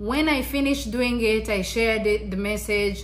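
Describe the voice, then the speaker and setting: There is audible room echo around the speaker. A woman talks at a moderate pace. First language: Kinyarwanda. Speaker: YouTuber. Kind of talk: motivational vlog talk. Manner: halting, repeats words.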